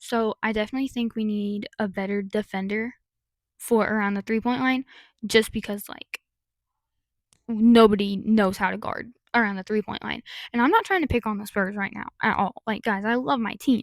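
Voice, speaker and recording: In a very clean recording with a silent background, a woman speaks at a fairly high pitch with fairly even intonation. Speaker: sports youtuber. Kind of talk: casual vlog commentary. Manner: fast.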